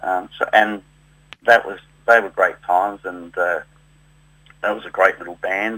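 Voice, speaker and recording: The speaker is a man with a slight South Australian accent. He talks at a fairly slow pace. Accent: slight South Australian twang. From South Australia, Adelaide. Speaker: tribute musician. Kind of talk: interview. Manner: halting, many fillers.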